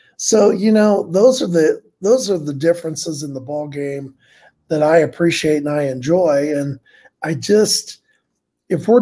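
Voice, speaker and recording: Using an American accent, a man speaks fairly slowly in a fairly high pitch, with a dark, mellow tone and ordinary pitch variation. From Indiana, US Midwest. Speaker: sports podcast co-host. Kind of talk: casual chat.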